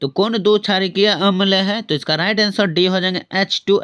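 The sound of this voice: A man's high-pitched voice at a moderate pace, with a clear, smooth and fairly bright tone.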